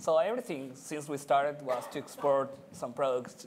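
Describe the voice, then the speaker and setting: A man talks at a moderate pace in a Spanish accent. His voice is fairly high, with ordinary pitch variation. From Chile. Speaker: technology director at digital company. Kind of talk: panel discussion.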